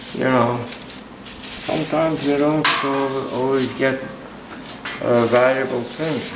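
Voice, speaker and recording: A man speaks at a medium pitch in a flat, monotone delivery, with noticeable noise in the background. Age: 80s+. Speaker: metal detecting hobbyist. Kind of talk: casual show-and-tell to camera. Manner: hesitant, with fillers.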